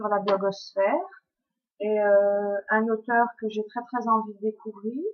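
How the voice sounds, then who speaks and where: A woman speaks with a Belgian accent. Her fairly high voice moves at a very slow pace. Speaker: book blogger. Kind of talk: book review vlog. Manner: hesitant, many fillers.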